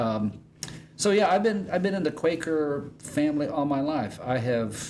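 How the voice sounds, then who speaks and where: Lively intonation and an American accent come at a fairly slow pace, with audible room echo. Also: man. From Indiana, US Midwest. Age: 60s. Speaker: pastor. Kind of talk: casual chat. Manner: halting.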